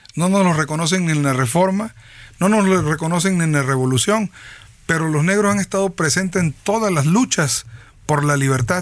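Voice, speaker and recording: A high-pitched man at a fairly quick pace, with ordinary pitch variation and very even loudness, on a very clean recording with a silent background. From Veracruz, Mexico (Tierra Blanca, Papaloapan basin). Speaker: politician. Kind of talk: interview.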